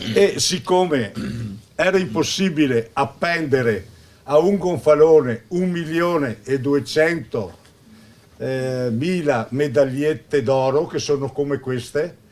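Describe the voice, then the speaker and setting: The man's pitch is fairly high, with ordinary pitch variation. He speaks at a very slow pace. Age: 70s. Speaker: local official. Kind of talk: welcome speech. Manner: halting.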